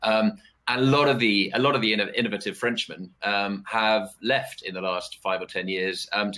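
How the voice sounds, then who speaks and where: With a British accent, a man speaks at a fairly low pitch. He keeps a moderate pace. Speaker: geopolitical analyst. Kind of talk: live webcast panel discussion. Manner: halting, many fillers and repetitions.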